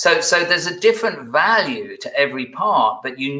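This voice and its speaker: Speaking at a moderate pace, the man has a British accent. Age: 60s. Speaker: executive coach. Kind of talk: interview conversation.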